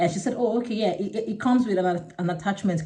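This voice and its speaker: Speaking very fast with a dark, mellow tone, a woman sounds somewhat breathy, her pitch varies in an ordinary way, and audible room echo surrounds her. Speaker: vlogger. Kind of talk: casual vlog monologue. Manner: halting.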